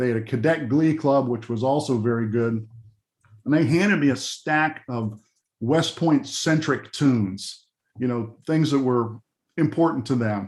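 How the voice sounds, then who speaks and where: In an American accent, a man speaks fairly slowly at a medium pitch, with ordinary pitch variation and an ordinary speaking voice. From Pennsylvania, Johnstown area. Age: 60s. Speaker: music arranger. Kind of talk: interview storytelling. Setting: video call. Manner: casual, with many fillers.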